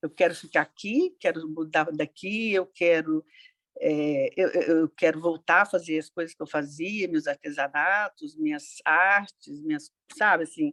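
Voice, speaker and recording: With a dry, close sound and no echo, a woman speaks fairly slowly at a fairly low pitch, her pitch varying ordinarily while her loudness swings widely. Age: 60s. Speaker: participant in grief support group. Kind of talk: personal testimony in group discussion. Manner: halting, many hesitations.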